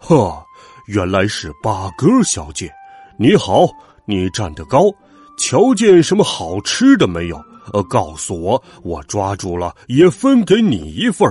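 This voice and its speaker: A gruff, put-on character voice moves at a fairly slow pace over faint music in the background. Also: man, fairly low pitch for a man. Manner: hearty, friendly.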